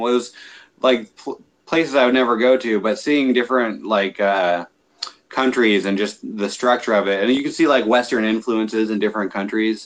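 A man speaks with an American accent at a fairly low pitch, with ordinary pitch variation. His is a normal speaking voice. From Northern California. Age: 20s. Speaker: pool fence dealer and navy veteran. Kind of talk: casual interview.

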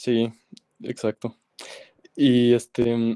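A man with a Mexican accent has a dark, mellow tone at a medium pitch. The recording is very clean and dry, close with no echo, over a silent background. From Mexico. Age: 20s. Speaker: singer and music producer. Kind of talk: casual interview.

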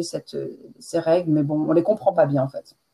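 This is a woman speaking. Her pitch is fairly low. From France. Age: 40s. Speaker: French teacher. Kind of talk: interview.

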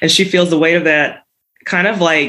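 A woman with an American accent speaks in an unremarkable speaking voice, fairly low in pitch, at a fairly quick pace. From Texas. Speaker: fiction writer. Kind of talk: interview.

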